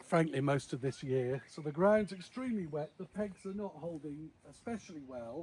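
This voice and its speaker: Using a British accent, a man with a fairly high pitch talks at a moderate pace with lively intonation and hardly any pauses. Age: 60s. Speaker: vlogger. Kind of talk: casual vlog commentary.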